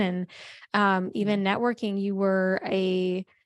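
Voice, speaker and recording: Against a quiet background, a woman speaks at medium pitch in an unremarkable speaking voice. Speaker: podcast host. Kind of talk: casual podcast interview. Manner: upbeat.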